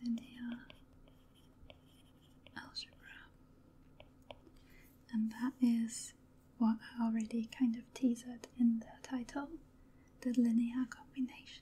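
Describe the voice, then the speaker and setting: The speaker is soft-spoken and leaves long, frequent pauses. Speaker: ASMR math teacher. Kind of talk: ASMR math lesson, soft-spoken teaching. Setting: studio microphone recording. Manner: soft-spoken, slow-paced. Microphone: studio mic.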